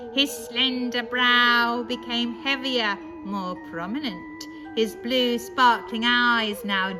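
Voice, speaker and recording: With music in the background, a woman speaks very slowly in a high voice and lively intonation. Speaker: storyteller. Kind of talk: ghost story reading.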